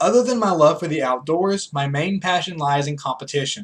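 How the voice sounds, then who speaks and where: With an American accent, a man uses an ordinary speaking voice, fairly high in pitch, with lively intonation at a moderate pace. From US South, rural North Carolina foothills. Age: 20s. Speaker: student. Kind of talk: class speech. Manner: formal.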